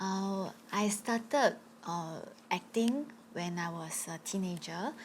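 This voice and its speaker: The voice is somewhat breathy, with ordinary pitch variation, big swings in loudness and long, frequent pauses. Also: woman. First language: not English. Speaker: actress and live streamer. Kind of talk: panel discussion. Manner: halting.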